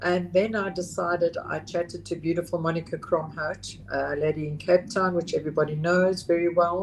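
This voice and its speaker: This woman's voice is somewhat breathy, her delivery monotone and flat. She talks at a moderate pace. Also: fairly low pitch for a woman, hardly any pauses. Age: 60s. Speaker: psilocybin facilitator. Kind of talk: interview. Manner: halting.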